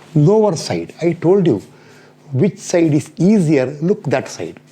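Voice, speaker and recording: This man's fairly high voice carries vocal fry and a dark, mellow tone, swinging very widely in pitch as he speaks at a fairly slow pace. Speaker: engineering lecturer. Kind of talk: lecture.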